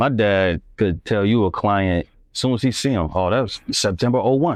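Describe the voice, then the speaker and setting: With ordinary pitch variation, the man talks at a moderate pace in a quiet background. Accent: American. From US Midwest, Northwest Indiana. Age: 30s. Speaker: photographer. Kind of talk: casual interview chat. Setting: live stream.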